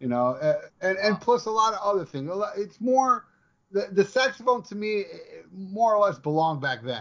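Using very wide pitch swings, a man with an American accent talks at a moderate pace and a high pitch. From Hialeah, Florida. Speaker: musician. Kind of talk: casual chat. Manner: talkative, animated.

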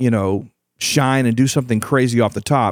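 The speaker has a Texas accent and an animated tone. The pace is moderate. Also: man. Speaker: podcast host and leadership coach. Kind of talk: motivational solo podcast talk.

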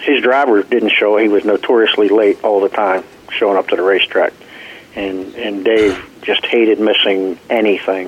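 A fairly low-pitched man's voice, monotone and flat, with noticeable background noise. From Arkansas. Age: 50s. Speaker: race car driver and team owner. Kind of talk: interview.

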